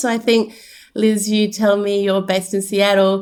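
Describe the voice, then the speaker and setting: Speaking at a medium pitch, a woman talks with an Australian accent. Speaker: podcast host, behavior analyst. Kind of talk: casual interview chat.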